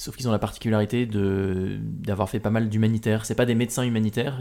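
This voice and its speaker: A man talks in a dark, mellow tone at a fairly low pitch, his intonation fairly even. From Normandy, France. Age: 20s. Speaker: adventurer and speaker. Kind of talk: interview, casual chat.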